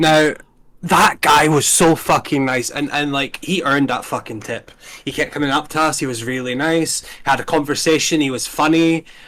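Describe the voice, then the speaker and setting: This man's voice sits at a fairly high pitch with a bright, sharp tone. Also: moderate pace. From Scotland, Invergordon (Highlands). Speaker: gaming YouTuber hosting tier list. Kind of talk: casual chat. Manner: animated, hyper; halting, repetitive fillers.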